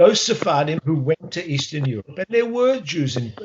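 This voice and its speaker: A man with an Australian accent speaks at a moderate pace in a somewhat breathy voice. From Australia, Melbourne. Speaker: history professor. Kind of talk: interview. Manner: halting.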